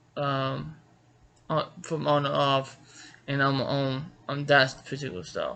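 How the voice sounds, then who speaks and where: A man's fairly high-pitched, flat monotone with an American accent, at a very slow pace. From Georgia, US South. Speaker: martial arts author and instructor. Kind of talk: casual personal introduction to camera. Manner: halting, many fillers and restarts.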